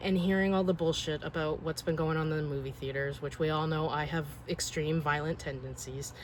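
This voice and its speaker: A somewhat breathy, monotone, flat delivery with hardly any pauses. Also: woman, very deep, low pitch for a woman, fairly quick pace. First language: not English. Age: 40s. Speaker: collector vlogger. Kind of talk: casual vlog monologue.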